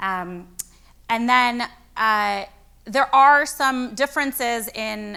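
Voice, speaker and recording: Her tone is bright and sharp, with ordinary pitch variation. She is a woman with an American accent. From Chicago. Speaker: rabbi. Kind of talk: lecture Q&A.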